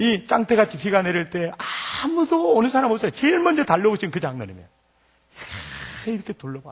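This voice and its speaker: Speaking with a Jeolla accent, a man races at a very fast pace in an animated tone and high pitch, with very wide pitch swings and long, frequent pauses. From Jeolla province, South Korea. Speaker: pastor. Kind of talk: sermon. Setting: church.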